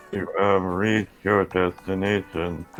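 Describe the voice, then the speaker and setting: Using a put-on character voice, a man speaks at a very deep, low pitch, fairly slowly, in a monotone, flat delivery. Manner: bored.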